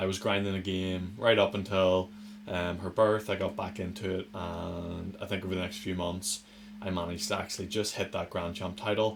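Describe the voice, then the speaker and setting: The speaker has a Northern Irish accent and a monotone, flat intonation. The pace is moderate. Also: man, very deep, low pitch for a man. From Northern Ireland. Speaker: gaming youtuber. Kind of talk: gameplay commentary. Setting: attic room at home. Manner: casual.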